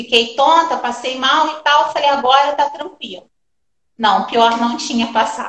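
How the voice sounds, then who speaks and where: This woman's high pitch shows ordinary variation as she keeps a moderate pace. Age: 40s. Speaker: makeup artist and direct sales director. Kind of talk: personal testimony in a live stream interview.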